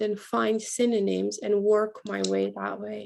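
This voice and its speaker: With a non-native accent, a woman talks at a very slow pace. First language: not English. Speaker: writing teacher. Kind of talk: online class teaching.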